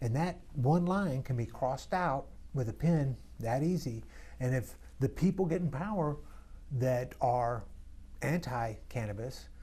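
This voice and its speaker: Pausing long and often, a man speaks at a fairly slow pace in a medium pitch, his somewhat breathy voice dark and mellow in tone, with lively intonation. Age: 60s. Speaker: congressional candidate. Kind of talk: interview. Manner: halting.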